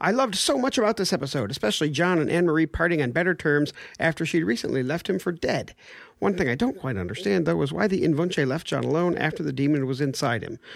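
A man's fairly high-pitched voice with vocal fry, very fast pace and lively intonation. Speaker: podcast host. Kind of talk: casual chat.

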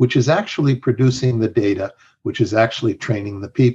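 The man's fairly quick speech is somewhat breathy. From Mexico. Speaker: health strategy consultant. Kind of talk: interview conversation.

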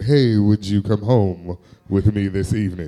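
A man puts on a character voice at a fairly low pitch. He speaks at a moderate pace. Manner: suave, flirtatious.

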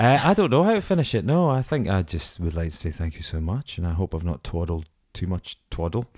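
On a very clean recording with a silent background, a man with a Scottish accent and a very deep, low pitch talks at a fairly quick pace with hardly any pauses and lively intonation, the sound dry and close with no echo. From Scottish Borders. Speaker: actor. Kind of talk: casual chat.

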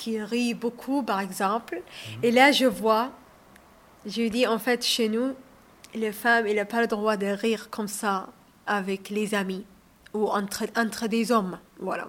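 With an Arabic accent, a woman speaks at a fairly high pitch and a very slow pace, using fairly even intonation and long, frequent pauses. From Saudi Arabia, Somali family. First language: Arabic (speaking French). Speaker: author and restaurant owner. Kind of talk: radio interview. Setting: on location by the canal.

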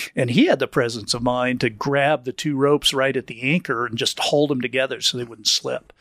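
The recording is dry and close, with no echo, as a man talks at a fairly quick pace with hardly any pauses. His medium pitch carries fairly even intonation. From US, moved around (diplomat family). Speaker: climber and climbing industry veteran. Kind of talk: casual interview chat. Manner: hesitant, repeats words.

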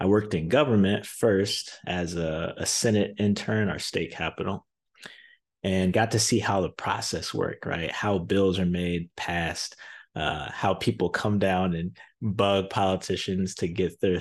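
A man talks at a fairly slow pace with an American accent and a very deep, low pitch. The background is quiet. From Zion, Illinois (Chicago area). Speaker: sales podcast guest host. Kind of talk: solo podcast monologue.

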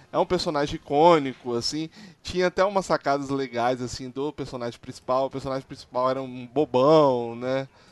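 A normal speaking voice from a man of medium pitch, with ordinary pitch variation and a dry, close sound with no echo. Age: 30s. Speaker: podcast host. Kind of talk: casual chat.

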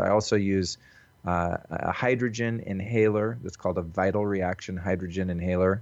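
A man speaks at a moderate pace in a very deep, low voice with fairly even intonation. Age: 40s. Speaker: wellness coach and podcaster. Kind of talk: interview. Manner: casual with frequent fillers.

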